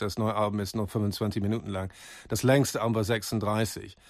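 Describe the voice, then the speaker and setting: A man at a medium pitch, speaking at a moderate pace. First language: German. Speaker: radio host. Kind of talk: radio interview with German summaries. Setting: studio.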